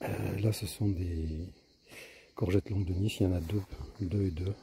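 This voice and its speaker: Soft-spoken and somewhat breathy, a man talks fairly quickly at a fairly low pitch with ordinary pitch variation. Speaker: home gardener, video maker. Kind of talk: casual garden tour vlog. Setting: outdoors in vegetable garden. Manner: soft, quiet speaking; hesitant, many fillers.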